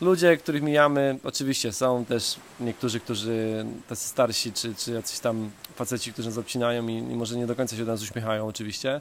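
Speaking at a very fast pace, a man keeps to a medium pitch. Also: ordinary pitch variation. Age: 30s. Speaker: travel podcaster. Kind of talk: casual monologue. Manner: repeats words often.

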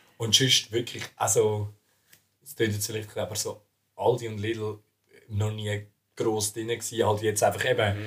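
The speaker talks at a fairly slow pace in a monotone, flat delivery with long, frequent pauses. Loudness swings widely throughout. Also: man, fairly low pitch for a man. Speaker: student podcast co-host. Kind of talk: casual chat.

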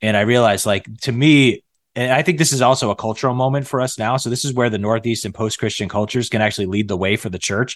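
Against a quiet background, a man with an American accent talks at a very fast pace with hardly any pauses, using a medium pitch and ordinary pitch variation. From north central Massachusetts. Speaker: pastor and church network leader. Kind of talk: podcast interview.

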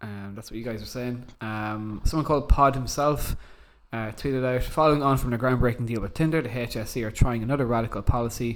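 In an Irish accent, a man speaks at a fairly quick pace with a medium pitch and fairly even intonation. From Ireland. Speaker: podcast host. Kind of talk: casual chat.

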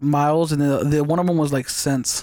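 A man's fairly high, monotone, flat voice on a very clean recording with a silent background. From US West. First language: Spanish. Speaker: podcast host. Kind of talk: casual chat.

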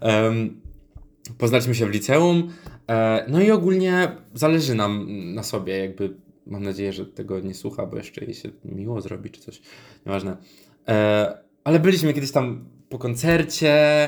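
Long, frequent pauses break up speech at a moderate pace, with very wide pitch swings and big swings in loudness. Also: man, medium pitch for a man. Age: 20s. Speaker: podcaster and psychology student. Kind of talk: casual monologue. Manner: halting, many fillers.

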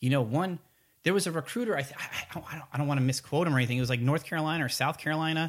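A very fast, somewhat breathy delivery with an American accent and ordinary pitch variation, in a very clean recording with a silent background. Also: man. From Connecticut, US. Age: 30s. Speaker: army recruiter. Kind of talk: casual chat.

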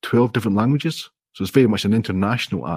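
A man speaks with a Scottish accent. The sound is dry and close, with no echo. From Scotland. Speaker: indie app developer. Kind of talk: casual interview. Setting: video call.

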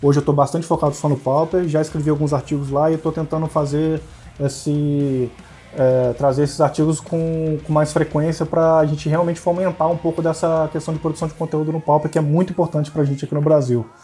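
A man's fairly high, monotone, flat voice at a very fast pace, with music in the background. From Brazil, Campos dos Goytacazes, interior of Rio de Janeiro state. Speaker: blogger and card game player. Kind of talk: casual chat. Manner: halting.

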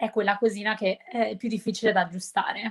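A plain, everyday voice from a woman, fairly high-pitched and fairly quick, on a very clean recording with a silent background. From Milan area, Italy. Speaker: English teacher on social media. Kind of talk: casual interview chat.

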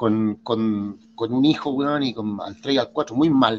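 This man has a medium pitch and ordinary pitch variation. His pace is fairly slow. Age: 50s. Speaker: drummer and entrepreneur. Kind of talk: casual chat.

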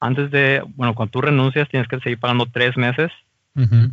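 A man talks at a medium pitch with fairly even intonation. He has an unremarkable speaking voice. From Mexico. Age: 30s. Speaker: mechanical designer working in Germany. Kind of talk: casual interview.

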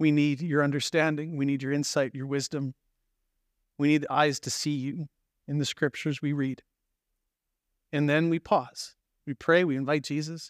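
Recorded with a dry, close sound and no echo, a man speaks in a fairly high pitch. His delivery is monotone, with flat intonation and long, frequent pauses. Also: very clean recording, silent background. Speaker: pastor. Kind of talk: guided meditation.

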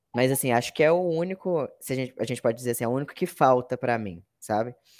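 In a very clean recording with a silent background, a man speaks in an ordinary speaking voice at medium pitch, fairly quick pace and with lively intonation. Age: 20s. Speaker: content analyst, former teacher. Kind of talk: interview.

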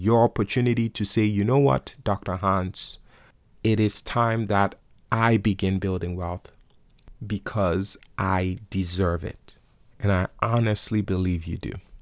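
Speaking at a fairly low pitch and a fairly slow pace, a man sounds animated and upbeat in a very clean recording with a silent background and a dry, close sound with no echo. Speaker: investing tutor podcast host. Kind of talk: pep talk; motivational sales pitch urging listeners to start investing. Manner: urgent, emphatic, rallying, direct second-person address; animated, repetitive for emphasis, upbeat.

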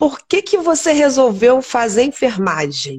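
This speech moves fairly slowly. Its pitch swings very widely. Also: woman. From Teresópolis, Rio de Janeiro state, Brazil. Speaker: nurse and live stream host. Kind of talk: interview on a live stream.

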